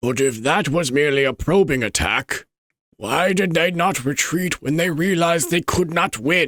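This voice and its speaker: In a put-on character voice, a man speaks at a fairly high pitch on a very clean recording with a silent background. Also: moderate pace. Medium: virtual streamer.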